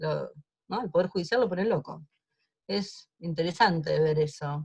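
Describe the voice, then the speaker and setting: Ordinary pitch variation runs through a somewhat breathy voice moving at a moderate pace. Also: woman. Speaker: lawyer in human rights trials. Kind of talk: online seminar talk.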